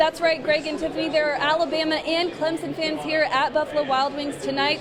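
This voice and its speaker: Over noticeable background noise, a woman with an American accent speaks at a fairly quick pace. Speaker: television news reporter and anchor. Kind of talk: TV news reporting and anchoring.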